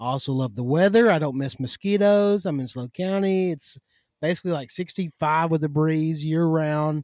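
A voice in a Kentucky accent at a moderate pace, ordinary pitch variation, dry, close sound with no echo, very clean recording with a silent background. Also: man, fairly high pitch for a man. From Western Kentucky. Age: 30s. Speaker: agriculture lobbyist. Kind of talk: casual chat. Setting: outdoors in the yard.

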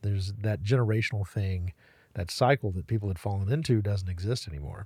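A man speaks in a fairly low pitch with ordinary pitch variation. His voice is somewhat breathy. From western North Carolina, Waynesville, Haywood County. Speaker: talk radio host. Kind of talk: casual interview chat. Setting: podcast studio. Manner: halting, many repeated words.

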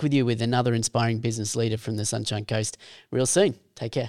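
An Australian accent marks this man's speech. His pitch is medium and his pace fairly quick. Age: 40s. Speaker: podcast host. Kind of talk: interview.

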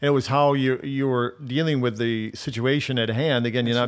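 A man with a normal speaking voice talks at a moderate pace with fairly even intonation. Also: very clean recording, silent background. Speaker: pastor, podcast host. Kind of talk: interview, conversational.

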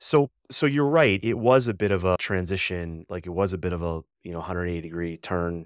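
In a very clean recording with a silent background, a man with a very deep, low pitch talks at a fairly quick pace with ordinary pitch variation. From Boston area, Massachusetts. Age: 50s. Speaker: former Olympic athlete and coach. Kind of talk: casual interview.

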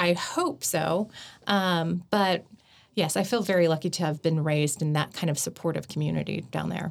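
Speaking at a moderate pace, a woman with an American accent has a fairly low pitch and vocal fry. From Oklahoma, Chickasha. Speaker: public relations worker. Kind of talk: casual chat. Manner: halting, many ums.

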